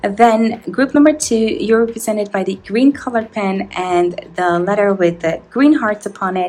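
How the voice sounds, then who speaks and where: A woman with a non-native accent speaks at a moderate pace with hardly any pauses, her fairly high pitch moving with ordinary variation over background music. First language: not English. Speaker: tarot reader. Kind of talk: tarot reading to camera.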